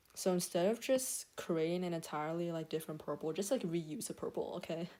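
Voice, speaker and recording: A woman speaks at a fairly quick pace in a dark, mellow tone, her fairly low pitch showing ordinary variation. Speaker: streamer doing digital art. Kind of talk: casual live-stream tutorial. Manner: stuttering today; casual with many fillers.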